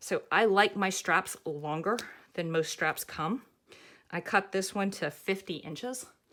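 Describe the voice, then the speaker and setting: With a Southern US accent, a woman speaks at a medium pitch with ordinary pitch variation. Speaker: craft pattern designer. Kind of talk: tutorial. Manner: casual, chatty.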